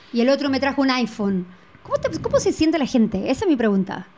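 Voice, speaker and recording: High-pitched female voice with light background noise. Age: 40s. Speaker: artist guest; guest. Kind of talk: casual chat. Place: studio. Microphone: handheld.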